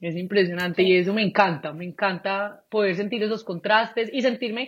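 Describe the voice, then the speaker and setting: A woman's voice with ordinary pitch variation. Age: 20s. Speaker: actress. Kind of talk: casual chat. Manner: talkative.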